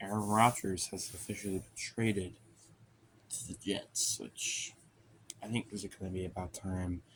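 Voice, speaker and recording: Quiet and at a moderate pace, a man talks in a fairly low pitch with monotone, flat intonation. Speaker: sports vlogger. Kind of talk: casual monologue. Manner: quiet, talking low; hesitant, many fillers.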